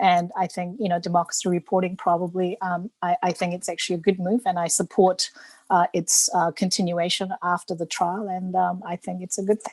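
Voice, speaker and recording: In a Korean accent, a woman talks at a fairly quick pace with hardly any pauses. Her medium-pitched voice is monotone and flat, with a dry, close sound and no echo. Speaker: politician. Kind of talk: panel debate. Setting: video call.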